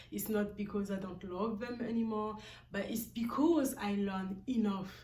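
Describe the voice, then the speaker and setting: Audible room echo surrounds a woman speaking at medium pitch. Her intonation stays fairly even. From Guinea-Bissau, West Africa. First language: a Guinea-Bissau language, not English. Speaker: vlogger. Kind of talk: personal vlog monologue. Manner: halting, with many fillers.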